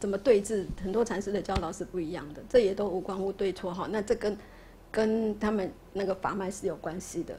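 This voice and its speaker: A woman speaks at a medium pitch with a somewhat breathy voice. Light background noise sits behind her. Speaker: Buddhist lay lecturer. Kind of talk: lecture and class discussion. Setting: classroom with students. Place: classroom. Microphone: studio mic.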